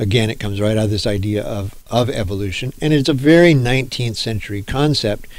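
A man at a fairly quick pace with hardly any pauses, in audible room echo. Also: medium pitch for a man, ordinary pitch variation. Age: 60s. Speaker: professor. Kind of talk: lecture. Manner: halting.

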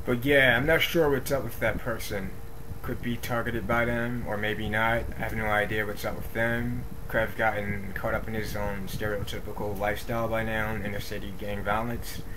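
A man with fairly even intonation over noticeable background noise. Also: moderate pace. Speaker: video diarist. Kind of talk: video diary, reading notes to camera. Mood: irritated, dismissive. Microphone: webcam.

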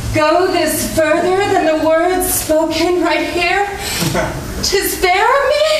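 Background noise is noticeable. Room echo is audible too. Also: woman. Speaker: stage actor. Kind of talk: theatrical monologue and rhymed verse. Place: stage. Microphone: camera far.

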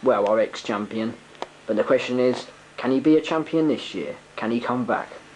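Over noticeable background noise, a man with a medium-pitched voice speaks in an excited, serious tone. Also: ordinary pitch variation, moderate pace. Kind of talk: sports commentary. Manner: hushed, excited play-by-play, mock-serious and theatrical.

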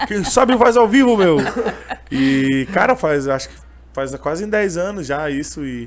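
This man's voice sits at a fairly high pitch and moves through very wide pitch swings. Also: fairly slow pace. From southern Brazil, Canoas (Rio Grande do Sul); Rio Grande do Sul, Brazil. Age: 20s. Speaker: street vendor and gospel singer; street vendor. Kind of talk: interview conversation. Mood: emotional, earnest storytelling. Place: studio. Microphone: studio mic.

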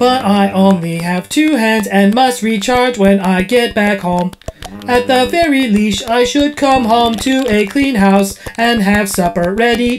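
A female-sounding voice at a medium pitch for a woman does a put-on character voice at a fairly slow pace. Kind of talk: comic sketch acting. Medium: comedy sketch. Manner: prim, scolding, matter-of-fact.

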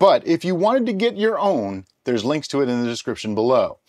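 Against a quiet background, a man talks in a high pitch with very wide pitch swings. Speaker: home brewer host. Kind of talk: tutorial. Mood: cheerful, joking. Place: home room.

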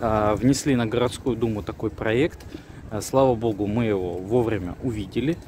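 The audio is dry, without echo, with light noise underneath. A man talks at a moderate speed, his pitch varying in an ordinary way. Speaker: civic activist video blogger. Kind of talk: video commentary. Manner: hesitant with fillers. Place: street. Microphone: phone near.

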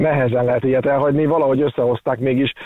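A man with a medium pitch and fairly even intonation is heard in a dry sound with no echo and a quiet background. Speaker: expert guest (doctor). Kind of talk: casual chat, explaining news. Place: studio.

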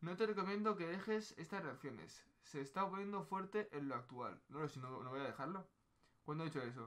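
Intonation is lively. Delivery is fairly quick. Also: man. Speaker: streamer. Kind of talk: casual stream chat reacting to anime and reading chat. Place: home room. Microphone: headset.

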